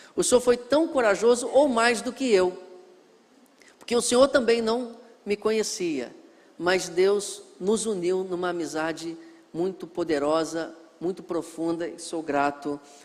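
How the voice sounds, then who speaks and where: This man speaks with a high pitch and lively intonation, stopping often for long pauses. Noticeable background noise runs under his voice. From Brazil, northwest Rio de Janeiro state (Miracema). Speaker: missionary pastor, guest preacher. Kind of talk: sermon introduction to a congregation. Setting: church.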